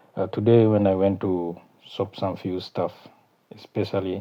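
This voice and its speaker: With a South Sudanese accent, the speaker talks at a fairly slow pace in a monotone, flat intonation. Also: man. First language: Kakwa. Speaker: YouTuber. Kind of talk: casual vlog talk. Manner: halting, many fillers.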